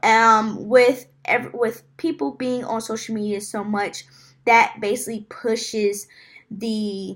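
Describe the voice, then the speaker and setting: Very slow, fairly even delivery from a woman at a fairly high pitch, on a very clean recording with a silent background. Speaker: student presenting a class assignment. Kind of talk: class presentation. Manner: halting, many filler ums.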